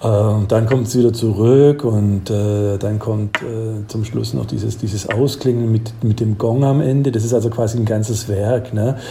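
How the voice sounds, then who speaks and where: At a fairly slow pace with hardly any pauses, a man speaks at a medium pitch over noticeable background noise. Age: 50s. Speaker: professor. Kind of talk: casual chat.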